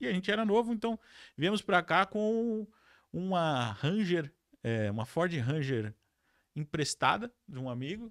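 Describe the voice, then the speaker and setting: In a very clean recording with a silent background and a dry, close sound with no echo, a man speaks at a high pitch with very wide pitch swings, at a fairly slow pace with long, frequent pauses. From Brazil, São Paulo city. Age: 40s. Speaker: entrepreneur. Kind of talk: podcast interview.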